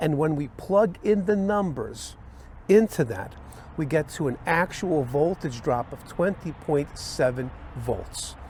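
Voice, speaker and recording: This man has a plain, everyday voice and a fairly high pitch. His intonation is lively. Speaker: electrical instructor. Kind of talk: tutorial.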